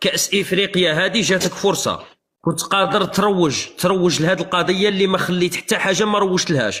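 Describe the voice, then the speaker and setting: At a high pitch, a man speaks at a fairly quick pace in a raised, projected voice. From Algeria. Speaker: live streamer. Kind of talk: heated debate. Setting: livestream. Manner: animated.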